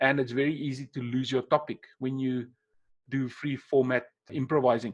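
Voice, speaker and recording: A man with a South African accent, fairly high-pitched, at a moderate pace. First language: Afrikaans. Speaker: webinar presenter, NLP trainer. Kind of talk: webinar presentation. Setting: online webinar. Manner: unscripted, conversational with hesitations.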